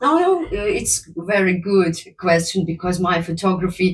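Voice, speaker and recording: A woman speaks in a fairly low, somewhat breathy voice. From Ukraine. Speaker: photographer and model. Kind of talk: interview. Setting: shop. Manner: halting.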